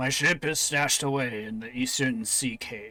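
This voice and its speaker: Doing a put-on character voice, a man speaks raspy and medium-pitched at a moderate pace with fairly even intonation. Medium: actual play. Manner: measured, formal.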